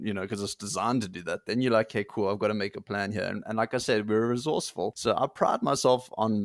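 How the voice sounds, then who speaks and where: A man with a plain, everyday voice, fairly low pitched and fairly quick, with fairly even intonation, in a very clean recording with a silent background and a dry, close sound with no echo. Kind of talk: casual interview chat.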